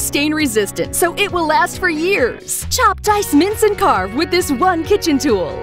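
The tone is upbeat and the pace moderate. Music plays in the background. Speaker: voice-over announcer. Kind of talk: TV commercial read.

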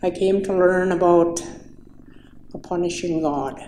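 Over light background noise and audible room echo, the voice has a dark, mellow tone and fairly even intonation. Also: woman. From Saskatchewan, Canada (First Nation). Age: 60s. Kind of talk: personal testimony speech. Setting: public event with audience. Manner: halting. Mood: reflective, calm. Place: hall.

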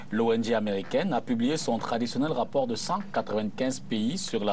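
Over light background noise, a man with a plain, everyday voice talks at a medium pitch with lively intonation. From Cameroon. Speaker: TV debate host. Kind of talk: televised political debate. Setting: TV studio. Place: studio. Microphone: lapel.

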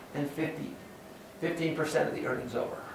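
A man's voice with audible room echo and light background noise. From California (San Joaquin Valley). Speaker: university professor. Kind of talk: lecture. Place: classroom.

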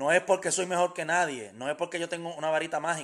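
The background is quiet. Intonation remains fairly even throughout. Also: man. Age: 30s. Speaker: business coach. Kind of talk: motivational live stream talk. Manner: hesitant with fillers. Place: home room. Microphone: phone near.

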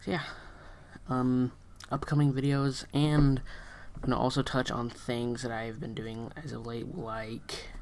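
Delivery is fairly slow with long, frequent pauses, and light background noise can be heard. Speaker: video creator. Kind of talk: casual vlog chat. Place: home room. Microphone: webcam.

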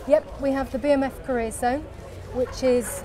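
A woman speaks while crowd noise carries in the background. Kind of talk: interview answer. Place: street. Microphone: lapel.

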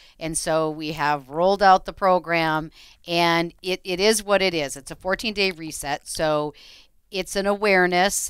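Against a quiet background, a woman with a fairly low pitch speaks at a fairly slow pace in an ordinary speaking voice, her intonation fairly even and the sound dry with no echo. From Minnesota. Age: 50s. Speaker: radio co-host and realtor; radio show co-host. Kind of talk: radio talk show. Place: studio. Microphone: headset.

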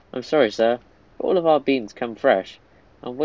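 Someone is reading aloud in a natural voice, the pitch varying by an ordinary amount.

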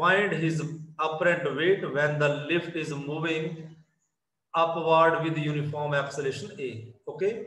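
A man with a bright, sharp tone and fairly high pitch talks at a moderate pace with fairly even intonation and long, frequent pauses, amid audible room echo. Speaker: physics teacher. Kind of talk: online class lecture.

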